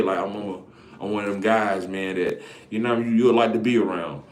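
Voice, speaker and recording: Audible room echo surrounds a man talking at a very fast pace. His intonation stays fairly even. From Alabama, Greene County. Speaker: content creator. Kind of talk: casual live stream monologue. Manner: casual, halting with repetitions.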